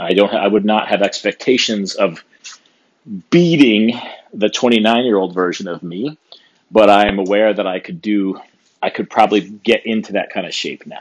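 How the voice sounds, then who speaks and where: The man has an ordinary speaking voice, fairly low in pitch, at a moderate pace. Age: 50s. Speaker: podcast host, strength coach. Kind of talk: solo podcast monologue. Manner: casual, many fillers.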